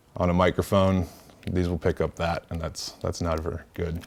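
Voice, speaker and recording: Speaking at a moderate pace, a man with a very deep, low voice holds a flat, monotone delivery. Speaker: workshop presenter and podcaster; presenter, podcaster. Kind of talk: workshop tutorial. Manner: casual, filler-heavy. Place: meeting room.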